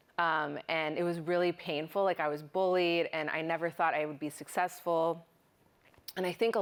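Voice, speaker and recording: A woman speaks with a Californian accent. Her pitch is fairly low and her pace moderate. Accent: General American (California). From Burbank, California. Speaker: program manager, community organizer. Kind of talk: panel interview. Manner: disfluent, frequent fillers.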